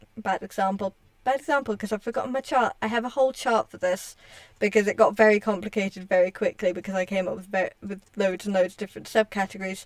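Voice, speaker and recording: A woman speaks very fast at a medium pitch with fairly even intonation and big swings in loudness. The sound is dry and close, with no echo. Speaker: streamer and hobby writer. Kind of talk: casual livestream chat. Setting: livestream while gaming. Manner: halting, many restarts.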